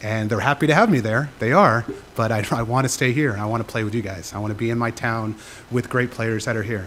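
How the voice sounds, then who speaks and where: Fairly even in intonation and medium in pitch, a man's voice moves at a very fast pace. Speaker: public commenter, teacher. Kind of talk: public comment at council meeting. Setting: city council chamber. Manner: unprepared, halting.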